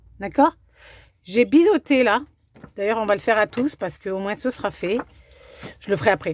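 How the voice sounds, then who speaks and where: A woman talks with a fairly high pitch and lively intonation. The sound is dry and close, with no echo. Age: 40s. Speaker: craft demonstrator and scrapbooking video maker. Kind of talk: tutorial; sales pitch. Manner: casual, hesitant with fillers.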